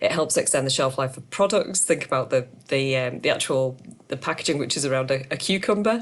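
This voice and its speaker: Music sits in the background as a woman talks. Her pitch is very deep and low, with lively intonation. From Yorkshire, northern England. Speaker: circular economy consultant. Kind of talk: webinar presentation. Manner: hesitant, many fillers.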